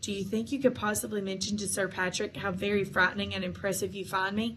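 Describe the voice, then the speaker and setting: Raspy and very fast, a woman puts on a character voice at a medium pitch over clear background noise. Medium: read story. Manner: polite, formal.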